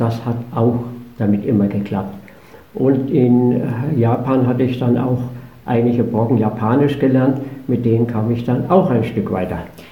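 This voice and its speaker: Amid audible room echo and noticeable background noise, a man with a medium pitch speaks at a moderate pace with fairly even intonation and long, frequent pauses. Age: 80s+. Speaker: motorcycle traveler. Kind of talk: interview. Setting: studio.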